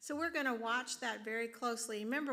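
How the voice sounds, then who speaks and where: A woman's fairly high-pitched, normal speaking voice at a fairly quick pace, with ordinary pitch variation. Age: 60s. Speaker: district superintendent. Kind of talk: Q&A session.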